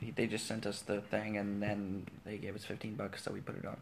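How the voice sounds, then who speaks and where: A man is speaking at a fairly quick pace. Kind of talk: infomercial pitchman parody. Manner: loud, upbeat, hard-sell patter with exaggerated salesman enthusiasm.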